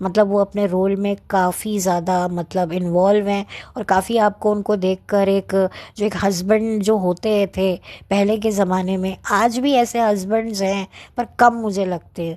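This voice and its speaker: A woman speaks at a medium pitch in a dark, mellow tone, her intonation flat and monotone against a quiet background. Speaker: YouTuber film reviewer. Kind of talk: casual monologue film review. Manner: soft-spoken.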